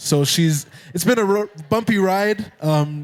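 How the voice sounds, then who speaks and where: A man with an American accent speaks at a fairly slow pace with ordinary pitch variation. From Kenya, Nairobi (Ethiopian American). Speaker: musician. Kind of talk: casual interview.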